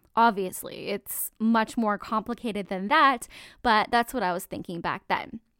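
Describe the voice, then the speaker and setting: Recorded very cleanly against a silent background with a dry, close sound and no echo, a woman with a Canadian accent speaks in a plain, everyday voice, fairly high in pitch, at a moderate pace. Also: ordinary pitch variation. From Canada. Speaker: network marketer and podcast host. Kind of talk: solo podcast monologue.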